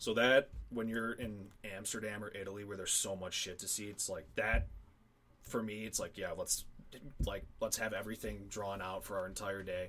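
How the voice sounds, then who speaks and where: Speaking with a Midwestern American accent, a man delivers his words at a moderate pace in a fairly low, bright, sharp voice with monotone, flat intonation. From Northern Illinois. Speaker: college athlete and traveler. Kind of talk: casual chat.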